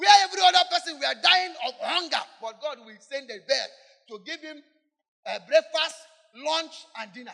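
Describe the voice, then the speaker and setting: Using a raised, projected voice, a man speaks at a moderate pace with an extremely high pitch and ordinary pitch variation. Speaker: preacher leading congregation in prayer. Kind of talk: fervent warfare prayer led from the pulpit, call-and-response with congregation. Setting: church with congregation. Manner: loud, urgent, emphatic preaching with rhetorical questions.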